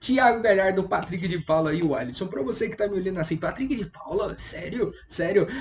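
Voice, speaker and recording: A man with a high voice talks at a fairly quick pace, with lively intonation and hardly any pauses. Noticeable background noise runs underneath. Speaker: fantasy football analyst. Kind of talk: online video analysis. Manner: fast.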